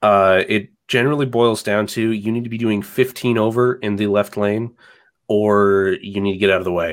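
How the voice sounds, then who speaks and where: A man with an American accent speaks at a moderate pace. His is a plain, everyday voice, pitched fairly low. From US South. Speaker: phone enthusiast. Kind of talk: casual chat. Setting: video call.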